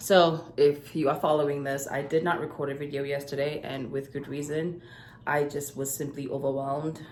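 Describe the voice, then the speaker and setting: This woman's voice is very deep and low-pitched. Audible room echo surrounds it. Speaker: life coach and vlogger. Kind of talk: casual vlog to camera.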